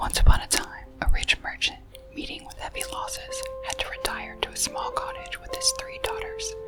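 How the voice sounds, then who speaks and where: Someone whispers, soft-spoken, at a moderate pace. Music plays in the background. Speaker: ASMR storyteller. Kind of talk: ASMR story reading. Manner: whispered, soft-spoken.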